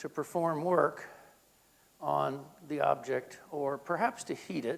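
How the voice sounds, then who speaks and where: A man speaks with an American accent. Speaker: health physicist. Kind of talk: lecture. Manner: deliberately slowed.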